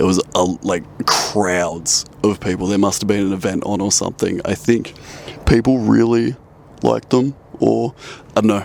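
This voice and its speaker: A man with an Australian accent, fairly low-pitched at a moderate pace, with ordinary pitch variation and noticeable background noise. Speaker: travel photography vlogger. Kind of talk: casual vlog talk to camera.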